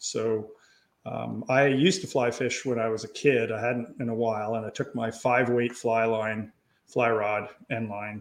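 Here is a man with an ordinary speaking voice in a Canadian accent, at medium pitch. He talks at a fairly slow pace with fairly even intonation. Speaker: pro paddler and kayak marketer. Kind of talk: casual chat.

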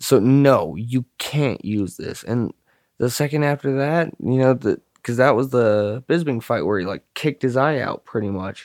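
Heard in a very clean recording with a silent background, this is a plain, everyday voice. It moves at a moderate pace with ordinary pitch variation. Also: man, medium pitch for a man. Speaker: podcast co-host. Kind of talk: casual banter, profane comedy chat. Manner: joking, sarcastic, profane.

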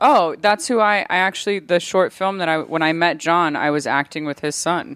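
In a very clean recording with a silent background, a woman with an unremarkable speaking voice talks at a moderate pace and fairly low pitch, with ordinary pitch variation. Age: 30s. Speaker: actor. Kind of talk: casual chat.

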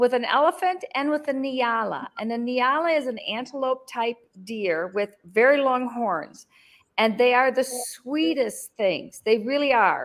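A woman's high-pitched voice with an American accent, lively intonation and a fairly slow pace. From Michigan, US. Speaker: interview guest, expat in Africa. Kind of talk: interview. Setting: remote video call.

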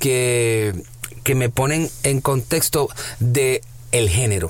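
Noticeable background noise sits behind a man talking at a medium pitch with ordinary pitch variation. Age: 30s. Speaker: radio host. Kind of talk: interview.

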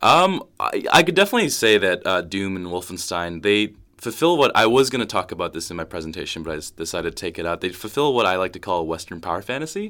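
Bright and sharp in tone, the voice races at a very fast pace with lively intonation and hardly any pauses, on a very clean recording with a silent background. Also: man, very deep, low pitch for a man. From Korean heritage. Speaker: university student. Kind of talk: casual interview. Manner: halting, many fillers.

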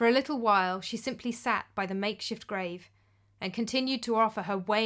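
This is plain reading aloud, the pitch varying in an ordinary way.

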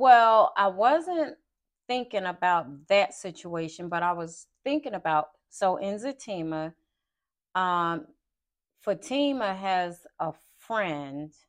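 Very slow, lively intonation from a woman with an American accent, broken by long, frequent pauses. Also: medium pitch for a woman, quiet background. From Philadelphia. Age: 50s. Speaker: podcast host. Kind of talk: casual chat. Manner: animated.

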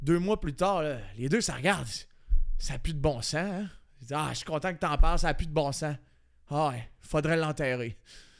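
In a very clean recording with a silent background, a man talks at a moderate pace in a fairly high pitch with ordinary pitch variation and long, frequent pauses. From Acadia. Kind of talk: joke battle banter.

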